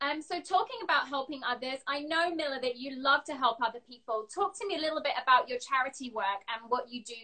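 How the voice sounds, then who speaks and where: Over a quiet background, a woman in a southern English accent talks at a fairly quick pace with hardly any pauses, a high pitch and lively intonation. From England. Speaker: interview show host. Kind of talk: live video interview. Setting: video call. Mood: warm, encouraging. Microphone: phone near.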